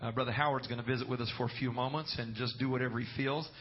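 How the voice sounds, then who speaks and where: A man with a normal speaking voice speaks with fairly even intonation. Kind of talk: fervent prayer before a congregation, with calls to amen. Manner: earnest, rolling, with praise-filled repetition of 'Lord' and 'Jesus'.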